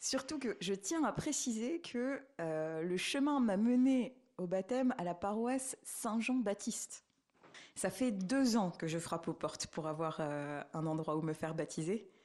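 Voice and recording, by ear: A woman talks at a fairly slow pace with lively intonation. Her medium-pitched voice has a slightly mellow tone.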